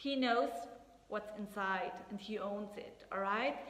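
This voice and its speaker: A woman with a non-native accent speaks at medium pitch, fairly slowly, with fairly even intonation. There is audible room echo and noticeable background noise. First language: not English. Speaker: astrologer and tarot reader. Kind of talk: casual tarot reading talk to camera. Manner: halting, searching for words.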